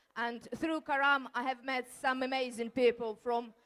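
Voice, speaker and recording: A woman speaks in a high voice at a fairly slow pace. Her intonation stays flat and monotone. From Ukraine. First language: Ukrainian. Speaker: award winner, community volunteer. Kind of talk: acceptance speech. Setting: hall with audience at awards ceremony.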